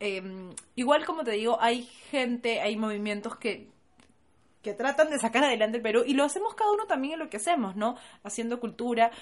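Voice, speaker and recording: A woman with a high pitch speaks fairly quickly, her pitch varying in an ordinary way. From Peru. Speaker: podcast co-host. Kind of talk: casual chat.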